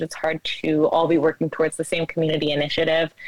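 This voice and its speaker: An American accent comes through. The audio is dry and close, free of any echo. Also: woman. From New Jersey. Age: 20s. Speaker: barista. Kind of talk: casual chat.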